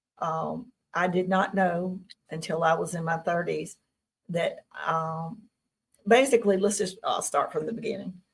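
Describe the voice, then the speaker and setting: With a Southern US accent, a woman speaks at medium pitch and a moderate pace, her voice somewhat breathy with ordinary pitch variation. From Tennessee. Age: 60s. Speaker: UFO contactee. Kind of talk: interview.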